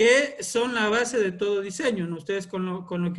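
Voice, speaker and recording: A man speaks at a moderate pace. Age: 30s. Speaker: environmental engineer and course trainer. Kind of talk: online lecture. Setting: video call. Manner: hesitant with filler sounds.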